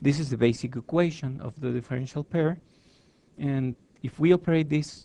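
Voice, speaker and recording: The man's medium-pitched voice has a dark, mellow tone and is somewhat breathy. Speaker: engineering lecturer. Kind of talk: lecture.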